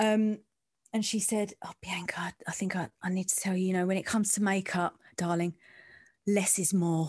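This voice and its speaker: With an East End London accent, a woman speaks at a moderate pace in a flat monotone, her dry, close sound carrying no echo over a quiet background. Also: medium pitch for a woman. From East End of London. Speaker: sports journalist and presenter. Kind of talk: casual interview chat about career.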